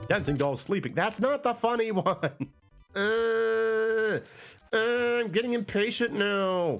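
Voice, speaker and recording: With music in the background, a high-pitched man speaks in a relaxed, playful tone. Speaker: let's play streamer. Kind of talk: casual gameplay commentary.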